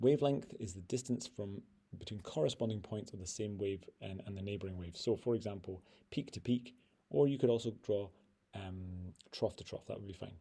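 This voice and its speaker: Fairly low in pitch with ordinary pitch variation, a man talks at a fairly quick pace in a somewhat breathy, dark, mellow voice. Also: big swings in loudness. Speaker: physics teacher. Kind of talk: tutorial. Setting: screen recording. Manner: fast.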